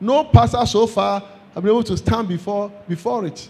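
A man speaks in an animated tone. Noticeable background noise runs behind him. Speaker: preacher. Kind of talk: sermon. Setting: church with congregation. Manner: animated, call-and-response, exhorting the congregation to say amen and clap; fervent, repetitive, emphatic.

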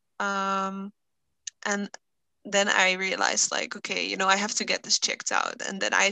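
Against a quiet background, a woman with a non-native accent speaks at a medium pitch. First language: not English. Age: 20s. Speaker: guest with chronic illness, social worker. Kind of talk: casual interview chat. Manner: hesitant, many fillers.

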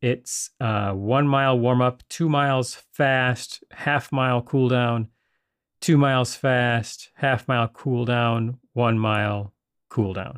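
Against a quiet background, a man speaks very slowly at medium pitch with fairly even intonation. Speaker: solo podcaster training for a marathon. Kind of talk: personal audio diary. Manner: casual, with fillers and hesitations.

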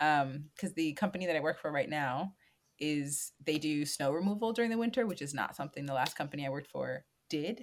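Lively intonation and a fairly quick pace mark this voice with an American accent. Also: woman, very deep, low pitch for a woman. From Washington, D.C. area, US. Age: 20s. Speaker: stage manager and landscaper. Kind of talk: interview. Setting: remote call.

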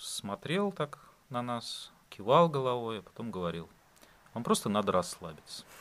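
A man's medium-pitched voice comes through at a very slow pace. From Russia, St Petersburg. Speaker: podcast guest, expat. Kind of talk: casual interview.

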